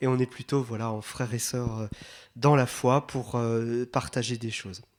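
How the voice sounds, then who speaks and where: A moderately paced man's voice in an Alsatian accent, on a very clean recording with a silent background. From Alsace, France. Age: 40s. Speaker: priest, catechesis speaker. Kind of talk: retreat talk to catechists. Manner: warm, conversational with many fillers.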